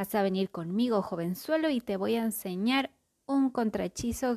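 A natural reading voice is heard, and the background stays quiet.

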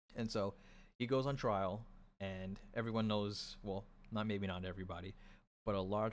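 A man's fairly low voice with fairly even intonation, at a moderate pace. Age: 20s. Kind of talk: religious teaching monologue.

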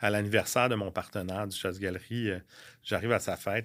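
Recorded very cleanly against a silent background, a man with a fairly low pitch speaks at a fairly quick pace with fairly even intonation. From Quebec, Laurentides. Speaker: real estate broker and former restaurant owner. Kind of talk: casual interview chat.

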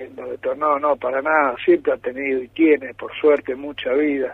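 With a normal speaking voice, the speaker talks at a moderate pace using fairly even intonation. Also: man. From Argentina, San Juan. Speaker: politician. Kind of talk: radio interview. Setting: phone call.

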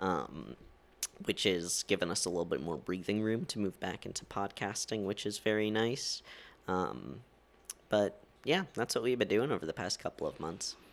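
A man's fairly low voice with vocal fry and lively intonation at a moderate pace. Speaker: podcast co-host. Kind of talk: casual chat. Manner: loud.

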